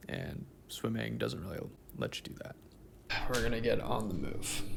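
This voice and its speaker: Over noticeable background noise and audible room echo, a man talks at a moderate pace in a very deep, low voice whose pitch swings very widely. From Canada, small-town Ontario. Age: 20s. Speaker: vlogger. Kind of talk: casual vlog narration.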